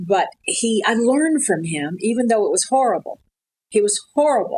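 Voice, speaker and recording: Her pitch is fairly high and swings very widely as this woman with an American accent talks at a moderate pace. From US South, Atlanta. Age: 70s. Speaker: retired television news anchor. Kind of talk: interview conversation.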